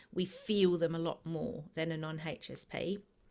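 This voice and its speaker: A woman with an Australian accent. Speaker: empath educator. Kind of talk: interview.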